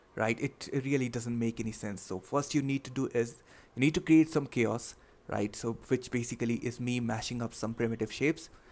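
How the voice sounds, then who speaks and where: A man with a non-native accent speaks at a moderate pace in a medium pitch with ordinary pitch variation. The recording is very clean, with a silent background. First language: not English. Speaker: 3D artist. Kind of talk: tutorial. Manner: halting, many fillers; casual.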